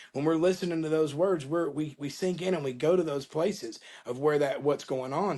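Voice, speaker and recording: A man with an American accent talks at a fairly high pitch with ordinary pitch variation, a plain, everyday voice, over a quiet background. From Florida, Panama City. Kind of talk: interview.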